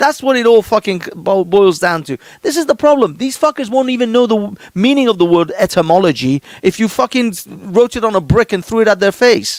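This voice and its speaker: Talking at a fairly quick pace with hardly any pauses, a man uses a high pitch and lively intonation, the sound dry and close with no echo. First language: not English. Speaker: podcast co-host. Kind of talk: heated debate. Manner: animated; halting.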